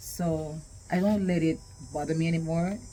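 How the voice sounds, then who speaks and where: A woman speaks at a fairly slow pace in a fairly low pitch, her somewhat breathy voice dark and mellow with ordinary pitch variation. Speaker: vlogger and podcaster. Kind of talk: casual talk to camera.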